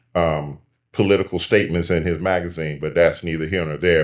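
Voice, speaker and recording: A man speaks with an American accent in a very deep, low voice and a fairly even intonation. The recording is very clean, with a silent background. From Michigan, US. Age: 70s. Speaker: community activist. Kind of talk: panel discussion.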